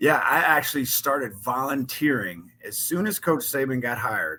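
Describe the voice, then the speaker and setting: Energetic in tone, a man with an American accent speaks at a fairly slow pace. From New Orleans, US South. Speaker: football coach. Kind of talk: interview. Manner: loud.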